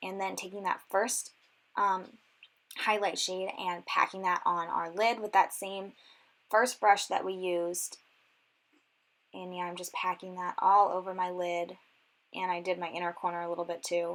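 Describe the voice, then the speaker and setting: At a moderate pace, a woman of medium pitch speaks in a monotone, flat intonation with long, frequent pauses. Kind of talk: casual makeup tutorial talk to camera. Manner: casual, many filler words.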